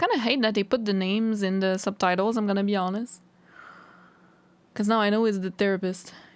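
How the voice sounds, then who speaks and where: A woman with a non-native accent talks at a fairly quick pace and medium pitch, with fairly even intonation and very even loudness. She takes long, frequent pauses in a very clean recording with a silent background. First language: not English. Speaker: reaction youtuber. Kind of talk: reaction commentary.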